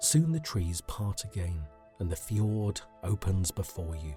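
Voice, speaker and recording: A man at a very slow pace, music in the background. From UK. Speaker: sleep story narrator. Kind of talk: sleep story. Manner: calm, soothing.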